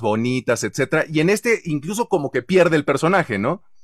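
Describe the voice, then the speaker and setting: A man with a Mexican accent at a moderate pace with very wide pitch swings, in a very clean, dry and close recording with a silent background and no echo. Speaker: voice-over artist and show host. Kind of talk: casual chat. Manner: animated.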